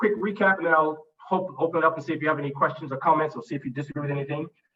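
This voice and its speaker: Male voice, fairly high in pitch, with ordinary variation in pitch. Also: hardly any pauses. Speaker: conference speaker on customer experience. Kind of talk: master class presentation. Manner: fast.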